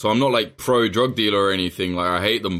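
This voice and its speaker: Very fast and bright, sharp in tone, a man speaks with an English accent at a fairly low pitch with ordinary variation. The recording is very clean, the background silent. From England. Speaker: journalist. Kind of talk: casual chat.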